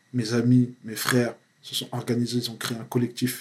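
A man's somewhat breathy, medium-pitched voice, monotone and flat, at a moderate pace. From France, Paris suburbs (Val-d'Oise). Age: 30s. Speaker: activist. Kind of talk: casual interview.

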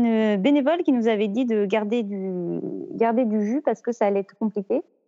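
A woman's fairly high voice at a fairly slow pace with ordinary pitch variation. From Normandy, France. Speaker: amateur trail runner. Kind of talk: interview.

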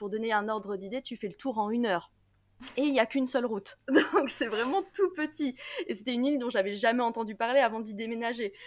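A woman speaks very fast in a fairly high pitch, with ordinary pitch variation. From Normandy, France, then Saint-Martin (Caribbean). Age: 20s. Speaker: law student and YouTuber. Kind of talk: casual interview.

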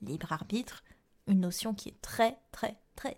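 Her voice somewhat breathy with a dark, mellow tone, a woman speaks at a fairly slow pace with ordinary pitch variation. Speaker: yoga therapist and astrologer podcast host. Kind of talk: solo podcast monologue. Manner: clear and precise.

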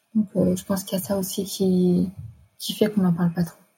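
A woman talks at a very fast pace in a dark, mellow, somewhat breathy voice. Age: 20s. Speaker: nurse. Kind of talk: personal testimony. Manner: halting.

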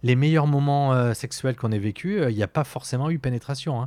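At a moderate pace, a man talks in a medium pitch with ordinary pitch variation, in a very clean recording with a silent background. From southwest France (Pau). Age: 40s. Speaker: podcast guest. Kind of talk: personal testimony. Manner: halting.

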